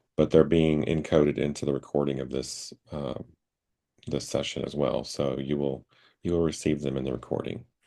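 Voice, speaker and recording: A man with a very deep, low pitch and vocal fry talks at a moderate pace with fairly even intonation. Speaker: intuitive healer. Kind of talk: spiritual group session talk. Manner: halting, many fillers.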